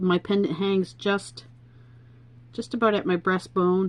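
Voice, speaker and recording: At a fairly slow pace, a woman speaks in an unremarkable speaking voice of medium pitch with ordinary pitch variation. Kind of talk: tutorial. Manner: casual, chatty.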